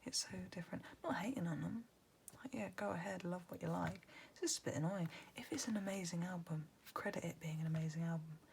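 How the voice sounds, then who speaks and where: In a soft-spoken whisper, the words come out at a very fast pace. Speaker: ASMR creator. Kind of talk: whispered ASMR lyric reading and chat. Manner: whispering or soft-spoken.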